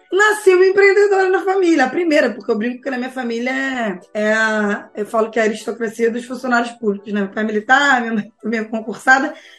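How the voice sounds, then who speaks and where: Over noticeable background noise, a woman with a high pitch speaks at a fairly quick pace, her pitch swinging very widely. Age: 40s. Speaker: behavioral finance educator. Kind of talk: casual interview chat. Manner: animated.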